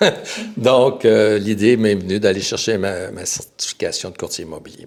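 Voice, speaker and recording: A man is talking. His pace is fairly slow. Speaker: real estate broker. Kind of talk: podcast interview. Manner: halting.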